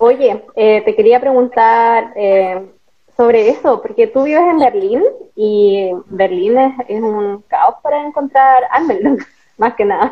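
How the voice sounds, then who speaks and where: A woman talks at a very slow pace, her high pitch showing ordinary pitch variation. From northern Chile (Atacama). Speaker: podcast host. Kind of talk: casual interview chat.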